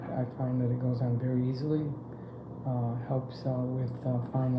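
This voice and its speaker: At a moderate pace a man speaks, with noticeable background noise behind him. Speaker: customer giving product testimonial. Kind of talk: customer testimonial to camera. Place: home room. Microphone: phone near.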